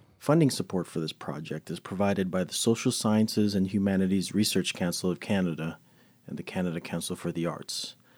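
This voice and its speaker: On a very clean recording with a silent background, a man with a very deep, low voice speaks at a fairly quick pace with ordinary pitch variation. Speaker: podcast host and producer. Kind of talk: casual interview.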